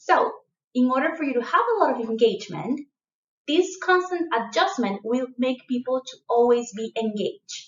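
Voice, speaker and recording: At a moderate pace, a woman talks with a high pitch and very wide pitch swings. Her loudness swings widely too. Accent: strong non-native. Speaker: leadership coach. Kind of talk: online course lecture. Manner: animated.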